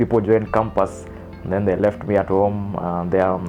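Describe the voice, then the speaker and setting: A man speaks with a Kenyan accent in a very deep, low voice. Music plays in the background. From Meru, Kenya. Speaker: lawyer and film director. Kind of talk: interview answer. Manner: casual, mixing English and Swahili.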